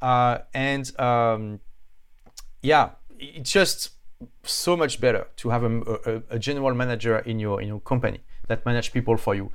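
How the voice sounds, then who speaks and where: A man with a strong French accent, medium pitch, ordinary pitch variation, a moderate pace and long, frequent pauses. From France. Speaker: author and entrepreneur. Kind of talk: casual interview. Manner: halting.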